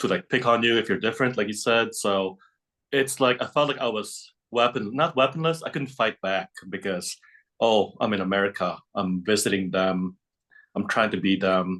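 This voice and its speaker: Against a quiet background, a man with a Filipino accent speaks in a fairly low voice with a bright, sharp tone. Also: ordinary pitch variation, moderate pace. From Philippines, moved to Chicago at nine. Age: 40s. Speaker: psychic and shamanic healer. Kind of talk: casual interview chat. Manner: halting, many repetitions.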